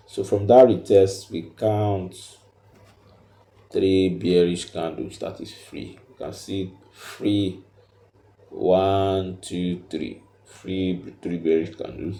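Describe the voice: A man with a low pitch and a dark, mellow tone speaks slowly with fairly even intonation, and room echo can be heard.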